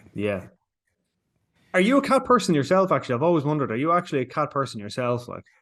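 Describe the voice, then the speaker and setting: Over a quiet background, a man with a fairly high pitch talks at a very fast pace, using very wide pitch swings and long, frequent pauses. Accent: Irish. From Ireland. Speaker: entertainment journalist. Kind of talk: interview.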